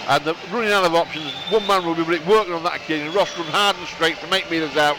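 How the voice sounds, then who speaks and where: A man with a strong Bradford accent talks very fast in a high pitch with fairly even intonation, over noticeable background noise. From northern England, Bradford. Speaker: radio co-commentator. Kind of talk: live sports commentary.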